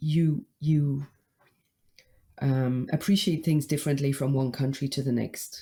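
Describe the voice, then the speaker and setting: A woman's somewhat breathy voice, very deep and low in pitch, dark and mellow in tone, with fairly even intonation at a fairly slow pace. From UK. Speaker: marketing consultant. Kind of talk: interview.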